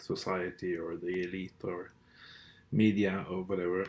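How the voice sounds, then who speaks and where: With a Norwegian accent, the speaker talks at a fairly slow pace in monotone, flat intonation. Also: man. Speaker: political commentator. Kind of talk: monologue rant. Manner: hesitant, many fillers.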